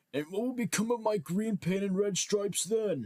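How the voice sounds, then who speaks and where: A man puts on a character voice, pitched high for a man and delivered at a moderate pace. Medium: read story. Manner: fretful.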